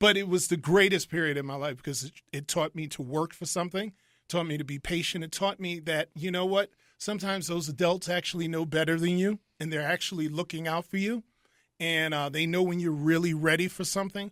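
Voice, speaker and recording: A man with a high pitch talks at a fairly quick pace, with a dry, close sound with no echo on a very clean recording with a silent background. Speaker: circus ringmaster. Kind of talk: interview answer. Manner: animated, conversational.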